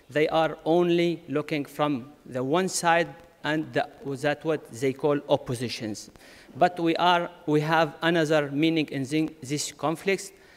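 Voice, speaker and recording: Over noticeable background noise, a man talks at a fairly slow pace in a fairly high pitch. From Syria. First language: Arabic. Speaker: conference speaker, community leader. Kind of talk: conference speech. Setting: conference with audience. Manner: halting.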